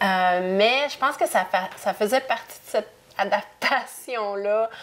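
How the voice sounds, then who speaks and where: Speaking very slowly, a woman has a fairly high pitch, ordinary pitch variation and very even loudness. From Canada, moved often (Ontario, Quebec, Europe). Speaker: interview guest. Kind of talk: casual interview chat. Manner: halting, many hesitations.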